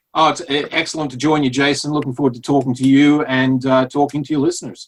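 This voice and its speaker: Delivered at a very fast pace, a man's fairly high voice stays monotone and flat, with an American accent. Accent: Australian-tinged American. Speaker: physical therapist. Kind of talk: podcast interview.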